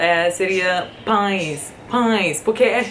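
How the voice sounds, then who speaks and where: Very slowly, a woman speaks. Her voice carries audible room echo amid noticeable background noise. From USA. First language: English (speaking Portuguese). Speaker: vlogger. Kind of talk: casual vlog.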